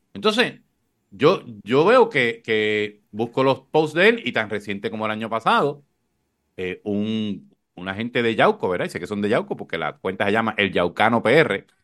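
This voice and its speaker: Against a quiet background, a man with a normal speaking voice talks at a moderate pace, his medium pitch showing ordinary variation. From Puerto Rico. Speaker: podcast host, communicator. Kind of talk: casual political chat.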